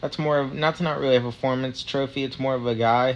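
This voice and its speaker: A man's fairly quick, monotone delivery at medium pitch, flat in intonation. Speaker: sports fan vlogger. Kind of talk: casual commentary. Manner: hesitant, many fillers.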